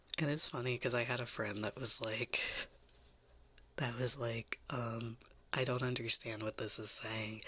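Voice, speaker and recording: The speaker has an American accent and a fairly slow pace. Long pauses come often. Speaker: VTuber ASMR streamer. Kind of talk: casual chat. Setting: live stream.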